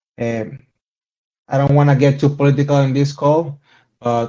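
The speaker has a Venezuelan accent and a dark, mellow tone. The intonation is monotone and flat. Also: man. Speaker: podcast guest.

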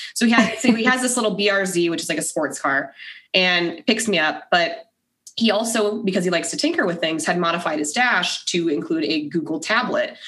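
A woman's animated, energetic voice at medium pitch, moving at a fairly quick pace. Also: lively intonation. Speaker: podcaster and Navy spouse. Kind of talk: casual chat. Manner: animated, energetic storyteller.

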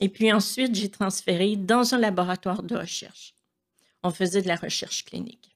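With a Quebec accent, a woman speaks at a moderate pace and medium pitch, keeping her intonation fairly even. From Quebec, Montreal. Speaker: churchgoer sharing faith story. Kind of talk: testimony.

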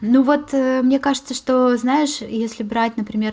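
In a very clean recording with a silent background, a woman speaks in a somewhat breathy voice. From Moscow, Russia. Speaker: podcast host. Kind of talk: casual chat.

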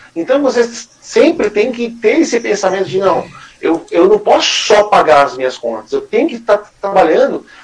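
Very wide pitch swings run at a moderate pace over noticeable background noise. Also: man. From Greater São Paulo, Brazil. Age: 30s. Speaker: small business owner. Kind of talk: casual interview.

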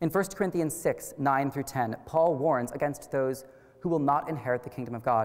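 This man speaks in an American accent at a moderate pace, with a fairly high pitch and ordinary pitch variation. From US Midwest, Wichita, Kansas. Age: 20s. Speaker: college student speaker. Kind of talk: public lecture. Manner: formal.

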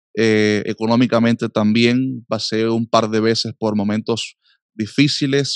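Against a quiet background, a man speaks at a very slow pace with fairly even intonation, the sound dry and close with no echo. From Cuba. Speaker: pastor and musician. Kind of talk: interview testimony.

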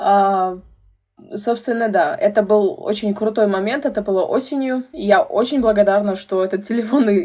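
With a dark, mellow tone, a woman speaks at a moderate pace. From Uzbekistan, Tashkent. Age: 20s. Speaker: youth activist and brand ambassador. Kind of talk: casual interview.

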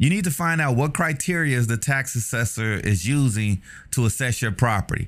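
A man's plain, everyday voice with an American accent, medium in pitch, with lively intonation at a moderate pace, on a very clean recording with a silent background. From Chicago, US Midwest. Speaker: podcast host and real estate agent. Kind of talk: casual monologue. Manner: casual, filler-heavy.

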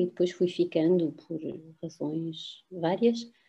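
The woman talks with ordinary pitch variation, keeping to a fairly slow pace. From France. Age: 50s. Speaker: university professor. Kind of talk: interview. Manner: halting.

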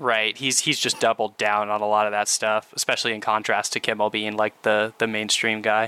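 A man with a fairly low pitch talks at a fairly quick pace with hardly any pauses, his intonation flat and monotone and his loudness very even, in a dry, close sound with no echo. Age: 30s. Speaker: podcast co-host. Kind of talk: casual chat.

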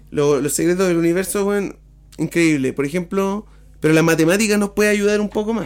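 Speaking at a fairly quick pace in a Chilean accent, a man uses a high voice with ordinary pitch variation. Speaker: podcast co-host. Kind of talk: casual chat.

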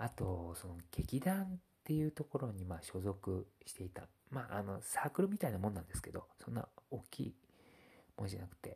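A man talks at a fairly quick pace in a fairly low, dark, mellow, somewhat breathy voice, with very wide pitch swings and big swings in loudness. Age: 30s. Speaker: blogger. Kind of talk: casual monologue. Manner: halting, many fillers.

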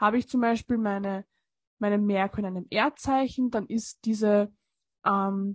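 A woman's somewhat breathy, medium-pitched voice at a fairly slow pace, fairly even in intonation, with a dry, close sound free of echo and a quiet background. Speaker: astrology podcast co-host. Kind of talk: casual chat.

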